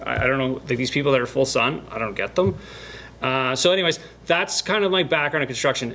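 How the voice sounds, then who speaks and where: A man's lively intonation races at a very fast pace, with noticeable background noise behind him. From Canada (Northern Ontario). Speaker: YouTube builder. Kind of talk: casual chat.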